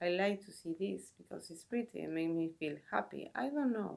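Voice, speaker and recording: A woman with a Spanish accent, fairly low in pitch, at a fairly slow pace. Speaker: tarot reader and video creator. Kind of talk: casual talk to camera. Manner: halting, with self-corrections.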